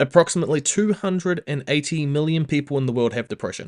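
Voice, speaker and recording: A man with a New Zealand accent, fairly high-pitched, fairly quick and lively in intonation, in a dry, close sound with no echo over a quiet background. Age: 20s. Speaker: podcast co-host. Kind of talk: casual chat. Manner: halting.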